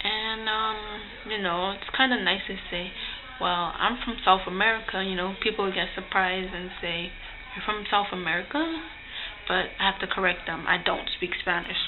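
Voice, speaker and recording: A woman of medium pitch speaks at a moderate pace with ordinary pitch variation. Noticeable background noise runs underneath. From Guyana. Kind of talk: casual talk to camera.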